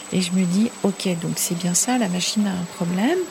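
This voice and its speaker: Noticeable noise sits behind this voice, which keeps a moderate tempo and varies its pitch in an ordinary way. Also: woman. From French Pyrenees (Ariège). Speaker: mountain rescue doctor. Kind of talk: testimony. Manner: halting.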